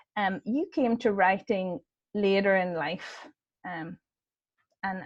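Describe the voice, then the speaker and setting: Her voice sits at a medium pitch. This woman talks in an Irish accent. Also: dry, close sound with no echo. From Ireland. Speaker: event host. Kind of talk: interview. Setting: video call.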